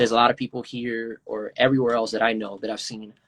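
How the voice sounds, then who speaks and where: A man with a Spanish accent talks very fast at a medium pitch in a flat monotone, with a dry, close sound and no echo. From Venezuela. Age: 20s. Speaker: indie hip-hop artist. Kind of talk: interview. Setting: Instagram Live video call. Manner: halting, many fillers.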